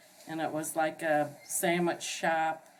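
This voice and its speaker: Over noticeable background noise, a woman talks in a very deep, low pitch with an American accent. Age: 60s. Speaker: local resident recalling the past. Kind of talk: oral history interview. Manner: hesitant, many fillers.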